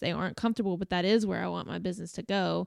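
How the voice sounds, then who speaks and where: Heard in a dry, close sound with no echo, a woman speaks at a medium pitch. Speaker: wedding filmmaker and podcast co-host. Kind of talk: casual chat. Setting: studio. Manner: loud.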